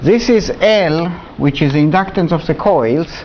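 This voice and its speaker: A man's voice sits at a fairly high pitch. Noticeable background noise is audible behind him. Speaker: university lecturer. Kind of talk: lecture. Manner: halting.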